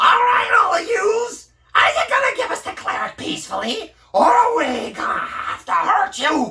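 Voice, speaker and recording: Someone shouts in a put-on character voice. The pitch swings very widely at a moderate pace. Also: man, extremely high pitch for a man. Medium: solo performance. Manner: irritable, bossy.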